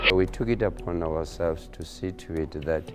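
A man talks at a moderate pace with a very deep, low pitch. Clear music plays in the background. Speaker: college principal. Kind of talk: interview answer.

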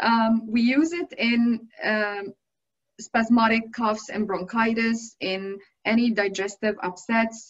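A woman speaks at a very slow pace, her fairly high voice somewhat breathy. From Egypt. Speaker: aromatherapist. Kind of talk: lecture. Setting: video call. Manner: halting. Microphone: video call.

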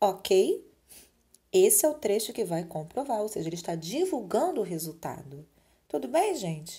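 Her tone is dark and mellow, somewhat breathy. The woman's intonation is lively. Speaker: school teacher. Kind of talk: recorded remote lesson.

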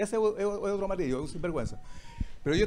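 The speaker is a man. His tone comes across dark and mellow. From Chile, Quillota; Chile. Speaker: audience member, former bank employee; audience member. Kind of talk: heated audience question. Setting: restaurant with live audience. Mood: confrontational, accusing. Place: cafe. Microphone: handheld.

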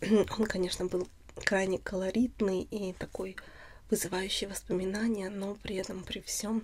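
Speaking at a fairly slow pace, a woman keeps a monotone, flat intonation over light background noise. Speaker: ASMR channel host. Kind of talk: casual vlog chat. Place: home room.

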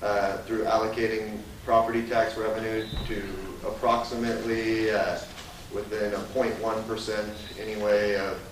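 Monotone, flat delivery at a fairly slow pace, with audible room echo and light background noise. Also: man. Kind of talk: budget presentation at a public meeting. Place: meeting room. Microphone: camera far.

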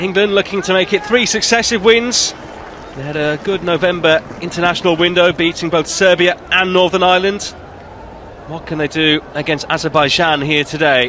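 The man's tone is animated, his pitch high with ordinary variation. Noticeable background noise runs underneath. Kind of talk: sports commentary, live play-by-play. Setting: match commentary. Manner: fast, fluent, and animated, calling each pass as it happens.

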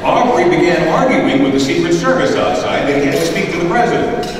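Noticeable background noise and strong room echo surround a man's voice. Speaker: radio host. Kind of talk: award ceremony speech. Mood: admiring, anecdotal. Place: hall.

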